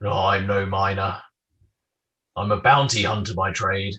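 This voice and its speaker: Put-on character voice from a man, pitched fairly low, moving at a moderate pace. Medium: actual play.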